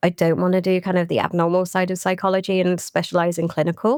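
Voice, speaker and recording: Over noticeable background noise, a woman talks very fast at a fairly low pitch, the sound dry and close with no echo. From mixed: Ireland, Czech Republic, England. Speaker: digital marketing director. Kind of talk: podcast interview. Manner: animated.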